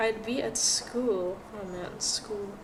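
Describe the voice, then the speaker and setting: A woman's fairly high, calm voice with fairly even intonation, plus audible room echo and noticeable background noise. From Philippines. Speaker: art streamer. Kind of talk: casual livestream chat while drawing.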